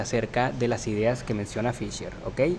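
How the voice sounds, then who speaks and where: Medium male pitch, fairly even intonation and a moderate pace, against noticeable background noise. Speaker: podcast host. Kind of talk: debate. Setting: university library. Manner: soft-spoken.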